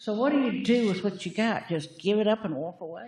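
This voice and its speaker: A somewhat breathy woman's voice at a medium pitch, with a Virginia accent and lively intonation. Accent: rural Virginia Southern. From US South. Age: 80s+. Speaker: public commenter, retired farmer. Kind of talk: public comment at county meeting.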